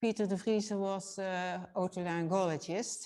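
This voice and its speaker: Speaking with a Dutch accent, a woman keeps a fairly slow pace. Her intonation stays fairly even. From Netherlands, Nijmegen. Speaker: physiotherapist. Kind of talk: lecture. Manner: halting.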